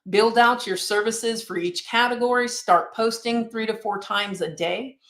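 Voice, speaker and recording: A woman with a normal speaking voice talks in a fairly high pitch at a moderate pace. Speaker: realtor and marketing instructor. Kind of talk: webinar presentation.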